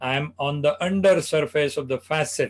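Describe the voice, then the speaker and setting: Speaking at a fairly slow pace with an Indian accent, a man keeps his intonation fairly even and his pitch fairly high against a quiet background. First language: Marathi. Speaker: spine surgeon. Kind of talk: medical lecture.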